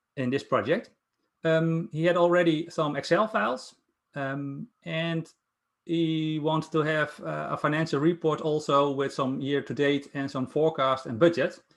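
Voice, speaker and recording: A man with a Dutch accent, fairly high pitch, ordinary pitch variation and a moderate pace. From Netherlands. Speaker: Power BI consultant presenting a project. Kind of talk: project presentation. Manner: halting, many fillers.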